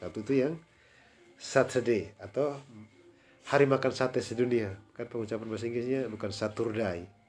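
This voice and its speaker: A man's normal speaking voice at medium pitch, fairly quick in pace and fairly even in intonation. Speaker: English tutor. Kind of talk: private language lesson.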